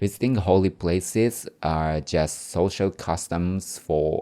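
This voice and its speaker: A man with a Japanese accent and a very deep, low pitch, his tone dark and mellow, at a very slow pace in a very clean recording with a silent background. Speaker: podcaster. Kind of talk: casual talk answering viewer questions. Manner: halting.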